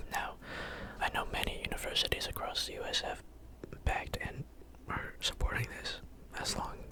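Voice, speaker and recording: Whispering at a moderate pace, a man speaks over noticeable background noise. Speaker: ASMR creator. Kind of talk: casual ASMR ramble to camera. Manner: whispering, rambling.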